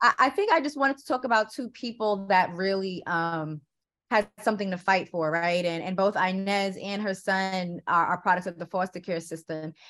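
A woman with a normal speaking voice and an American accent, medium in pitch with ordinary pitch variation, at a moderate pace, in a very clean recording with a silent background. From New York City, Queens. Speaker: filmmaker. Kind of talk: interview.

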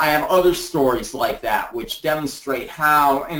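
A man with a normal speaking voice talks at a fairly slow pace. His pitch is fairly high. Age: 60s. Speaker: essential oils distributor. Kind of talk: interview on a group call. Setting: conference call.

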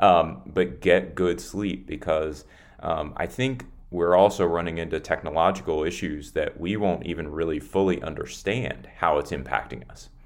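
Speaking at a moderate pace, a man with a very deep, low pitch and vocal fry shows ordinary pitch variation. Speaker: ministry center president, interviewee. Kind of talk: interview answers.

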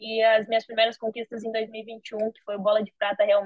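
The speaker is a woman with a fairly high pitch. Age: 20s. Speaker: professional footballer. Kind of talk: interview.

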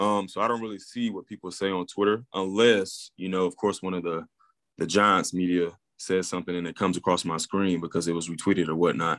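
Recorded dry and close with no echo against a quiet background, a man with an Alabama accent speaks at a fairly quick pace in a very deep, low pitch. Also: fairly even intonation. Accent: Southern US (Alabama). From US South, Alabama (Pleasant Grove). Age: 20s. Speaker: professional football player. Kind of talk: interview. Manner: hesitant, many fillers.

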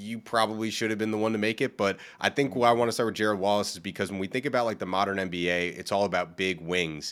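A man speaks in an ordinary speaking voice at a fairly low pitch. His intonation is fairly even, and the very clean recording has a silent background. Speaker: podcast host. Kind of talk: casual interview chat.

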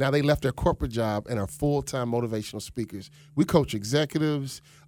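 Against a very clean recording with a silent background, a man with an American accent speaks in an ordinary speaking voice, medium in pitch, at a fairly quick pace with ordinary pitch variation. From Chicago South Side. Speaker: motivational speaker and former pro basketball player. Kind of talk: radio interview. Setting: studio.

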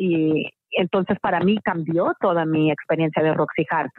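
Fairly low in pitch, a woman talks in an ordinary speaking voice with ordinary pitch variation. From Mexico. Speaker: musical theatre actress. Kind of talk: interview.

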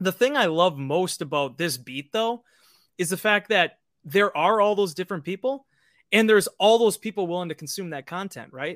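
The recording is very clean, with a silent background and a dry, close sound with no echo. Lively intonation runs at a moderate pace. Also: man, high pitch for a man. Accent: American. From Green Bay, Wisconsin. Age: 30s. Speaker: team website writer, former sports journalist. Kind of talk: casual interview.

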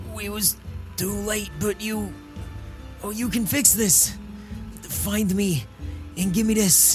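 A hoarse, put-on character voice speaks at a fairly slow pace with clear music in the background. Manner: weak, urgent.

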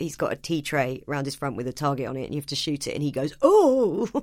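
In a very clean recording with a silent background, a woman with an English accent speaks at a fairly quick pace. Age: 30s. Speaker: stand-up comedian. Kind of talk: casual chat. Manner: animated.

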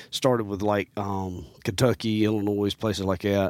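A man with a Southern US accent speaks in a fairly low voice. The sound is dry and close, with no echo. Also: very clean recording, silent background. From US South, Mississippi and Alabama. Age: 40s. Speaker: hunter and bow technician. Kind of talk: casual chat. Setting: studio. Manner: animated.

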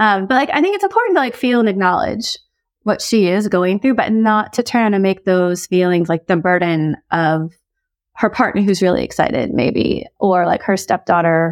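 This woman talks at a moderate pace in a plain, everyday voice with an American accent, medium pitch and ordinary pitch variation. Her loudness stays very even, and the recording is very clean with a silent background. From US, Korean American adoptee. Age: 40s. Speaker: author and advice columnist. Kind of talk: casual advice chat. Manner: casual, many fillers like 'like' and 'um'.

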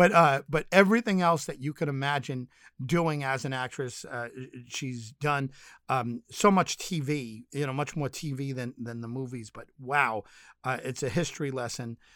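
A man speaks with big swings in loudness and ordinary pitch variation, recorded dry and close with no echo, very clean with a silent background. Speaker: podcast host. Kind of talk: casual interview. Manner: enthusiastic, chatty.

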